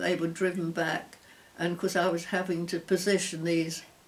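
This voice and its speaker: A woman speaks with a London accent at a fairly low pitch. Noticeable background noise runs behind her. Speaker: war veteran. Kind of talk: interview. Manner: halting.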